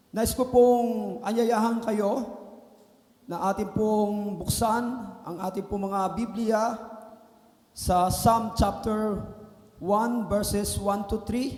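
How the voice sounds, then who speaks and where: A man speaks at a high pitch in a monotone, flat delivery, very slowly and with long, frequent pauses. Audible room echo and noticeable background noise are present. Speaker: guest preacher. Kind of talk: sermon. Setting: church.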